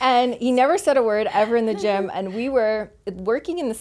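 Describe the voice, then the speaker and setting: Recorded very cleanly against a silent background, a woman speaks at a fairly quick pace with ordinary pitch variation. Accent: American. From US South, Louisiana. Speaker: personal trainer. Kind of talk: casual interview, personal story. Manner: animated.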